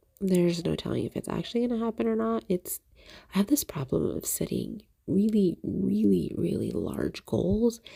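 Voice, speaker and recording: Soft-spoken, a woman talks at a moderate pace. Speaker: crafting YouTuber. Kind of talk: casual chat. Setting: voiceover recorded at home. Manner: halting.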